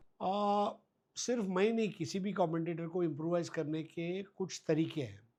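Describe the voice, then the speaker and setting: This man has a high pitch, ordinary pitch variation and a Gujarati accent. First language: Gujarati (speaking Hindi). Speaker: cricket commentator. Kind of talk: interview. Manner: halting with frequent fillers.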